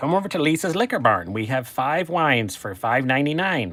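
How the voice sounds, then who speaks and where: A man puts on a character voice at a fairly high pitch. He speaks fairly quickly with very wide pitch swings. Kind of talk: salesy, ad-style.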